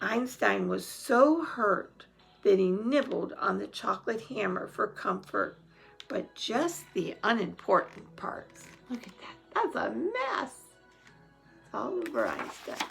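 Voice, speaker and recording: A woman's raspy, put-on character voice with a warm tone, fairly high in pitch and fairly slow, with big swings in loudness over music in the background. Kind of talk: bedtime story. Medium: read story. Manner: warm, chatty.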